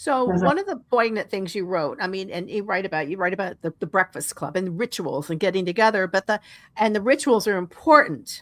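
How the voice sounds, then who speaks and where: In a very clean recording with a silent background and a dry, close sound without echo, a woman with an unremarkable speaking voice talks at a medium pitch and a fairly quick pace, with lively intonation and hardly any pauses. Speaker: radio talk show host. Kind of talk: radio interview.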